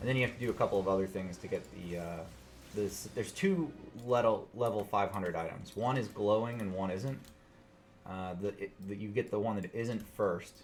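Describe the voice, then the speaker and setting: Speaking with an American accent, a man keeps a moderate pace and ordinary pitch variation. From US South. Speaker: video game streamer. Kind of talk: live gameplay stream chat. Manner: casual, hesitant with many fillers.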